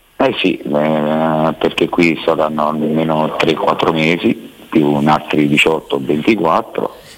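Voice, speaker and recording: Over noticeable background noise, a man with a very deep, low pitch talks at a very slow pace with hardly any pauses, very even loudness and fairly even intonation. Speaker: caller in alcohol rehab. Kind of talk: phone-in chat.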